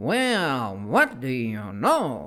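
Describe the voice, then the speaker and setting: A man speaks in a put-on character voice. His pitch is medium. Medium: read story. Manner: fussy, sulky, self-pitying.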